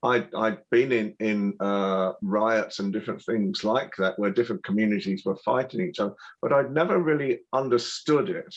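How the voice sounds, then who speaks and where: With a British accent, a man talks at a moderate pace. His pitch swings very widely. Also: medium pitch for a man. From Britain. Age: 70s. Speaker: TV broadcaster and royal commentator. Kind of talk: interview. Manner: halting, frequent repeats and fillers.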